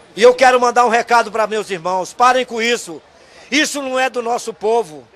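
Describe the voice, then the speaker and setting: Extremely high pitch from a man at a moderate pace, with noticeable background noise. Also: ordinary pitch variation. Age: 70s. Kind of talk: street interview.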